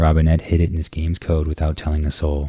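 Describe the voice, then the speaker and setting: A man's very deep, low voice, somewhat breathy and dark, mellow in tone, at a very fast pace in monotone, flat intonation. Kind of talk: ASMR book reading.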